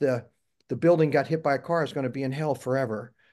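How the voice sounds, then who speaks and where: With a plain, everyday voice, a man speaks at a fairly high pitch and ordinary pitch variation against a quiet background. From US Midwest, Missouri. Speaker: interview guest, navy veteran. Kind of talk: interview, personal testimony.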